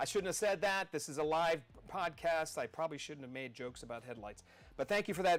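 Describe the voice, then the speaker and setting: A man with an American accent talks at a very fast pace with lively intonation and a fairly high pitch. His loudness swings widely. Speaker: podcast host, former city councilman. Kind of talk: live political podcast monologue. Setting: studio, live stream. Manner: energetic, rambling.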